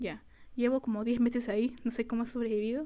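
A woman's fairly high, dark and mellow voice at a fairly quick pace, monotone and flat in intonation. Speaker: podcast co-host, student. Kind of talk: casual chat.

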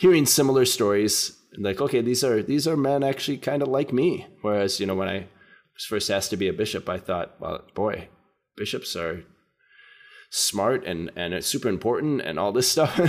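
A man with an American accent speaks at a medium pitch with lively intonation. He leaves long, frequent pauses. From US Midwest, southern Minnesota (Fairmont). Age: 50s. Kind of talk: casual interview. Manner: hesitant, many fillers.

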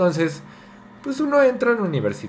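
Through audible room echo and noticeable background noise, a man speaks with very wide pitch swings. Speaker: podcast co-host. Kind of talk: casual chat. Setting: home dining room.

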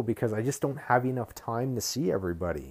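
A man with a Canadian accent, medium-pitched, at a fairly quick pace, with a dark, mellow tone. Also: very clean recording, silent background. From Ottawa, Canada. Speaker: podcast host. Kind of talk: casual monologue. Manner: rambling.

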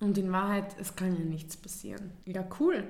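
Speaking with a Viennese accent, a woman uses a medium pitch, fairly even intonation and a moderate pace, with audible room echo and noticeable background noise. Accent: Viennese Austrian German. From Vienna, Austria. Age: 20s. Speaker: podcast co-host. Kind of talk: casual chat.

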